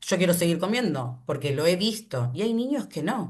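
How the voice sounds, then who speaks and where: A woman talks at a fairly slow pace in a somewhat breathy voice. Her pitch swings very widely. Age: 40s. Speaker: animal rights activist. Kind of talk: online class talk.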